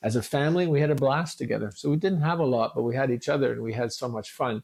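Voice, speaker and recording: A man with a Canadian accent talks at a very fast pace. His pitch is fairly high, with ordinary variation. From eastern Ontario, Canada (Hawkesbury). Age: 70s. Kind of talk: podcast interview.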